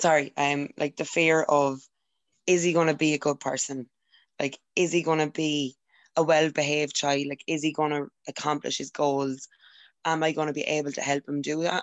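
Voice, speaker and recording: A woman with a very deep, low pitch speaks at a moderate pace in a monotone, flat intonation. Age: 20s. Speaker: young mother. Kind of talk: casual chat.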